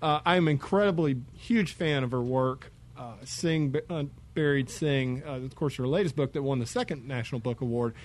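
Using an ordinary speaking voice with an American accent, a man talks at a moderate pace and fairly high pitch, with ordinary pitch variation and hardly any pauses. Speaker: radio host. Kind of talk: radio interview. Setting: studio.

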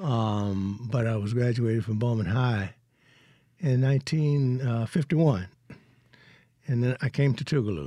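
With a Mississippi accent, a man talks at a fairly slow pace in a dark, mellow tone, using ordinary pitch variation and long, frequent pauses, on a very clean recording with a silent background. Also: medium pitch for a man. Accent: US South (Mississippi). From Mississippi Delta. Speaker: retired biochemist and educator. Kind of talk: interview. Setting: studio.

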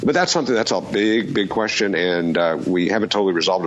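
The speaker's pitch varies in an ordinary way. Noticeable background noise runs underneath. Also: man. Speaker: law professor. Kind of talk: radio call-in show. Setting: remote call. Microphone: Skype line.

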